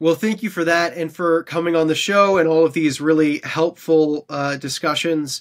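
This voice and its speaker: A man speaks with a Canadian accent at a fairly quick pace. His pitch is high with ordinary variation, and the background is quiet. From Canada. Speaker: podcast host. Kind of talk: interview. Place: home room.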